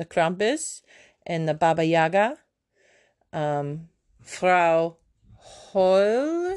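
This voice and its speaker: A woman's very slow delivery with lively intonation over a quiet background. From Germany. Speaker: podcast host. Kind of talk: casual solo monologue.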